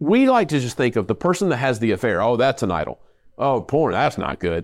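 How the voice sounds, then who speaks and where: In an unremarkable speaking voice, a man talks at a fairly quick pace with lively intonation. The recording is very clean, with a silent background. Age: 50s. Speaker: pastor and podcast host. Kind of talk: casual chat.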